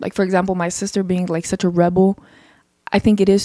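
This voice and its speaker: A woman speaks at a medium pitch with a dark, mellow tone and flat, monotone intonation. The recording is very clean and dry, close with no echo, over a silent background. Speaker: podcast host. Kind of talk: casual monologue. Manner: loud, rowdy tone.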